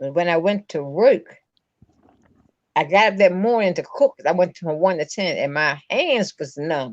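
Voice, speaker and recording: This woman has an ordinary speaking voice, fairly low in pitch, with an American accent, lively intonation and a fairly slow pace, recorded with a dry, close sound with no echo. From Baltimore, Maryland. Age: 60s. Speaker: person living with MS. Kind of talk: testimony.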